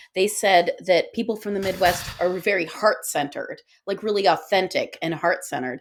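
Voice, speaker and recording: Speaking with an American accent, a woman with a plain, everyday voice and medium pitch talks at a moderate pace with ordinary pitch variation and hardly any pauses. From Guyana, Pakistan and Chicago suburbs. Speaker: author and podcaster. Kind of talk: casual chat.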